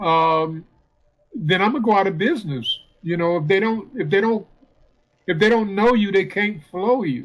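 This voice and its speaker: Pausing often and at length, a man with a high pitch talks at a moderate pace. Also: ordinary pitch variation. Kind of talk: casual radio talk. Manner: hesitant, filler-heavy.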